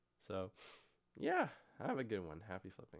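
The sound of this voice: A man puts on a character voice that is hoarse and fairly low. He keeps to a moderate pace.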